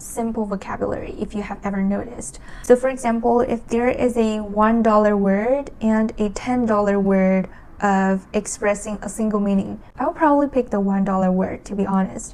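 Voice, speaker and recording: With hardly any pauses, a woman talks at a medium pitch with ordinary pitch variation. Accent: Chinese. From China. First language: Chinese. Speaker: language learning vlogger. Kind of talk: casual talk to camera. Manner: slow; halting.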